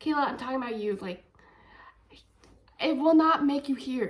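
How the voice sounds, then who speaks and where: A woman with an American accent, animated in tone, with ordinary pitch variation. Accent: slight deaf. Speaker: deaf ASL content creator. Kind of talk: casual vlog monologue. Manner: clear articulate speech.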